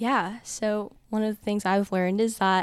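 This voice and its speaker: Speaking at a moderate pace with fairly even intonation, this unremarkable speaking voice carries an American accent on a very clean recording with a silent background. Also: woman. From Texas, Dallas. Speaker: college student. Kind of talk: testimony.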